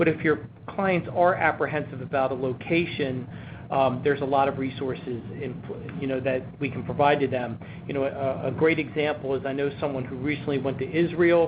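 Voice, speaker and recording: Over noticeable background noise, a man with an American accent speaks fairly quickly at a fairly high pitch with fairly even intonation. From US, Baltimore. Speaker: travel insurance presenter. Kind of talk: webinar presentation. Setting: webinar. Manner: frequent fillers.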